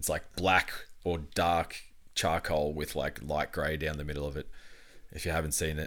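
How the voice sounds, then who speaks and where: At a moderate pace, a man with an Australian accent and a very deep, low voice speaks in a flat monotone, leaving long, frequent pauses. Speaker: podcast co-host. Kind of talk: casual chat. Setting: home recording room.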